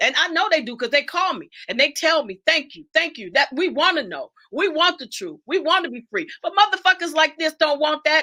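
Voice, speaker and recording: With hardly any pauses, a woman speaks at a fairly quick pace in a raised, projected voice of extremely high pitch, her bright, sharp tone animated, her intonation lively and her loudness swinging widely. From Detroit, US Midwest. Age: 70s. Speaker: guest speaker on a livestream talk show. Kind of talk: livestream discussion and lecture.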